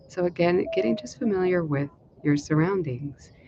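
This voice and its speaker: A woman talks at a fairly slow pace with ordinary pitch variation over noticeable background noise. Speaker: meditation teacher. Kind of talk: guided meditation. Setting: live stream at home. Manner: speaking up loudly. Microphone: no dedicated mic, may be quiet.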